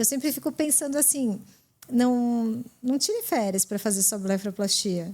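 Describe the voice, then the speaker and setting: A woman with a fairly high pitch speaks in a dark, mellow tone, her loudness very even. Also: ordinary pitch variation, fairly slow pace. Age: 40s. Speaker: eyelid surgeon. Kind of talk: casual chat.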